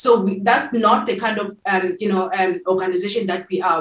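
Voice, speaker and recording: Her words come at a fairly quick pace. The room gives an audible echo. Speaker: tech nonprofit founder and CEO. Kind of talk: interview. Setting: remote call from an airport. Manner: hesitant, many fillers. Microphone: video call.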